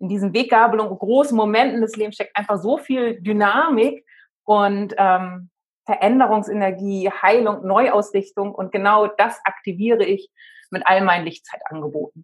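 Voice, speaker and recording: This woman has an ordinary speaking voice at medium pitch. She speaks at a moderate pace with ordinary pitch variation. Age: 40s. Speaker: spiritual life coach. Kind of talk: interview.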